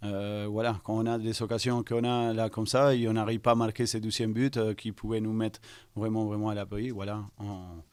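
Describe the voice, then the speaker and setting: On a very clean recording with a silent background, a man with a fairly low pitch talks at a fairly quick pace in a monotone, flat voice. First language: not French (speaking French). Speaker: football coach. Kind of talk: press conference. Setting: post-match press conference. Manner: halting, many hesitations.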